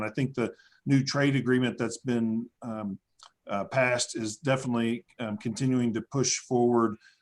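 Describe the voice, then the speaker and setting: A man in a West Texas accent, medium-pitched, fairly quick, with ordinary pitch variation. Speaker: conference moderator. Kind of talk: conference moderation. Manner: hesitant, many fillers.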